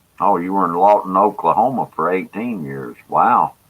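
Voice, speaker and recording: A man speaks at a fairly slow pace with a Mississippi accent. His pitch is fairly low, with ordinary variation. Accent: Southern US (Mississippi). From US South, Jackson, Mississippi. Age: 60s. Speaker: livestreamer, former planetarium presenter. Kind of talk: casual chat. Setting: live stream. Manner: halting, many filler words.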